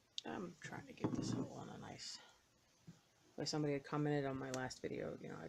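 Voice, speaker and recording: Whispering at a very fast pace, a woman leaves long, frequent pauses while her loudness swings widely, with audible room echo. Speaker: cross-stitch video creator. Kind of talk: casual chat while stitching. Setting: at home. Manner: semi-hushed.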